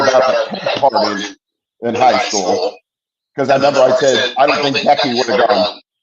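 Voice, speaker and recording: This man has a normal speaking voice. His pitch is fairly high. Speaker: musician. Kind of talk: casual chat.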